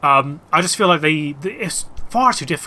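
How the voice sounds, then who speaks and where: Speaking in a Bristol accent, a man uses a bright, sharp tone with lively intonation. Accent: West Country (Bristol). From England, Bristol area. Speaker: gaming streamer. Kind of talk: casual live-stream chat. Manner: casual, hesitant with fillers.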